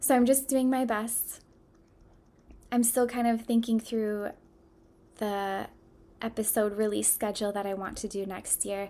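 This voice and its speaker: A woman with an American accent speaks at a fairly slow pace and fairly high pitch. Her intonation is monotone and flat, broken by long, frequent pauses. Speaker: podcast host. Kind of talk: solo podcast talk.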